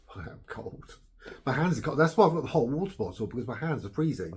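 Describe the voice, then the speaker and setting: A somewhat breathy man with an English accent and lively intonation. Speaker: blogger. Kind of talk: casual chat. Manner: hesitant with fillers.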